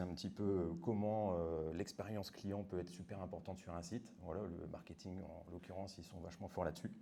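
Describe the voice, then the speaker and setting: A man speaks at a fairly quick pace with a very deep, low pitch and a dark, mellow tone. His intonation is monotone and flat, and the room echo is audible. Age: 40s. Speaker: web developer. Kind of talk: conference talk. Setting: meetup with audience. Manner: casual.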